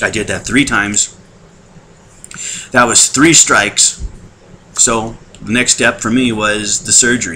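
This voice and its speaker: A man talks at a medium pitch with ordinary pitch variation and a fairly slow pace. He leaves long, frequent pauses, and noticeable background noise is present. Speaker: weight-loss surgery patient. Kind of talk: casual talk to camera. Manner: hesitant, conversational.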